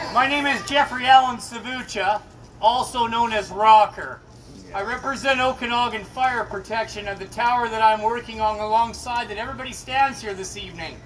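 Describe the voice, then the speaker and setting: An extremely high-pitched male voice at a fairly quick pace with fairly even intonation, over noticeable background noise. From Canada, Kelowna, British Columbia. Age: 50s. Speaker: construction worker. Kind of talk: vigil speech. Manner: loud; emotional, repetitive.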